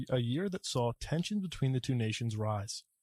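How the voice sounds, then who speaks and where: Recorded very cleanly with a silent background and a dry, close sound with no echo, a man in a plain, everyday voice talks at a medium pitch and a fairly quick pace. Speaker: news anchor. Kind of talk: television news anchor delivery.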